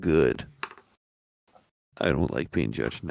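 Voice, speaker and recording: A man uses a raspy, put-on character voice with a very deep, low pitch. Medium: actual play.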